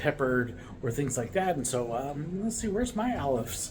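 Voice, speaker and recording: With audible room echo, a man with an American accent talks at a fairly quick pace and with lively intonation. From United States. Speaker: vlogger, American living abroad. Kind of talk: casual talk to camera. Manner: relaxed, many filler words.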